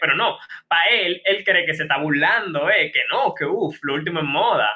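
A man is talking. His tone is animated. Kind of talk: casual chat.

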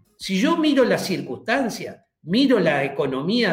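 Very wide pitch swings mark this man's very slow speech. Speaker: church teacher. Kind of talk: religious teaching interview.

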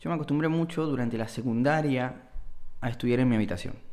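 At a moderate pace, a man of medium pitch speaks in a Rioplatense accent. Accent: Argentine Rioplatense Spanish. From Argentina, Bahía Blanca. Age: 20s. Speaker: podcaster. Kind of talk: solo monologue podcast. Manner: halting, repeats words.

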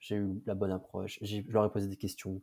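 A man speaks at a moderate pace in a fairly low, dark and mellow voice with monotone, flat intonation. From French provinces. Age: 20s. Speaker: growth marketer and former student entrepreneur. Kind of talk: interview. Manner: casual.

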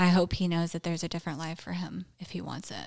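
In a very clean recording with a silent background, a woman speaks in a fairly low pitch with monotone, flat intonation. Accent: Southern US. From West Tennessee, US South. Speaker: recovering alcoholic sharing her story. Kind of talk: personal testimony interview.

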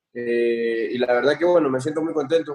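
With an ordinary speaking voice, a man talks at a moderate pace using fairly even intonation. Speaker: professional footballer. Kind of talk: casual interview.

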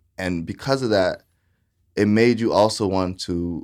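A man speaks at a very deep, low pitch in an American accent. His pitch variation is ordinary, and the recording is very clean with a silent background. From Florida, small town near Titusville. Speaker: nonprofit founder and entrepreneur. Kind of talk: interview.

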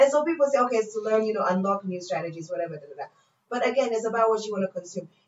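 A woman with an American accent talks very fast at a fairly high pitch, her intonation lively and her loudness swinging widely. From Tanzania and Pennsylvania, US. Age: 20s. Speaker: radio presenter and actor. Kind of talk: casual chat. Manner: animated.

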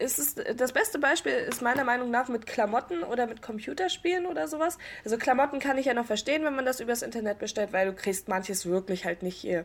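Talking at a very fast pace with hardly any pauses, a woman uses a high, animated voice with very wide pitch swings. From northeastern Germany, Rostock. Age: 20s. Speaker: podcast host. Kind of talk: casual chat.

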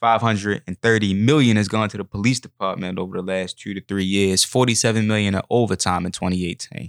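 A man's very fast, fairly low-pitched delivery with hardly any pauses and fairly even intonation, dry and close with no echo in a very clean recording with a silent background. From Baltimore City, Maryland. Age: 20s. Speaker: youth street outreach worker and writer. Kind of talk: interview. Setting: studio. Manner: many filler ums.

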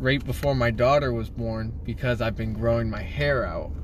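A man is speaking in a room with audible echo. Noticeable background noise is present too. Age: 20s. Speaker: podcast co-host, young father. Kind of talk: casual chat.

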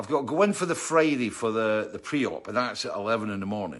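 Delivered at a very fast pace, this voice carries a Scottish accent. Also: man. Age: 60s. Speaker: musician and livestream host. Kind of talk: casual chat. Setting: home studio.

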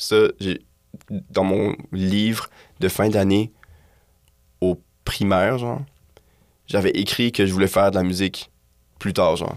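A man with a Quebec accent, fairly low in pitch and fairly even in intonation, at a fairly slow pace with long, frequent pauses. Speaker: musician. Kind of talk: casual interview chat. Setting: studio.

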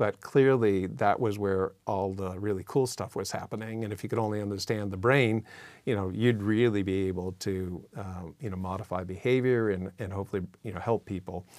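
A man with an ordinary speaking voice and an American accent, fairly low in pitch, with fairly even intonation, in a very clean recording with a silent background. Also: fairly quick pace. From Massachusetts. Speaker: neuroscience professor. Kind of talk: interview conversation.

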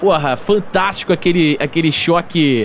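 Noticeable background noise fills the recording. Through it, a man's voice is heard. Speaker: podcast host. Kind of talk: casual chat.

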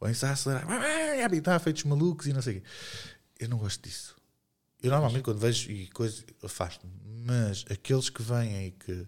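Lively intonation at a moderate pace, in a European Portuguese accent. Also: man, medium pitch for a man. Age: 40s. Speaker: podcast co-host. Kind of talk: casual chat.

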